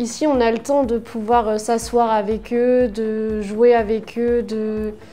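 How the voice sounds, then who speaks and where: A woman's fairly high-pitched voice against noticeable background noise. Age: 20s. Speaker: care worker. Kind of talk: workplace testimonial interview. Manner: hesitant, with fillers.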